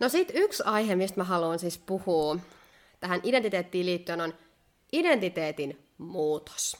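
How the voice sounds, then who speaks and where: Talking at a fairly slow pace, a woman with an ordinary speaking voice keeps a medium pitch with ordinary pitch variation. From Finland. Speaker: podcast co-host. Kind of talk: casual chat. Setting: indoors by candlelight.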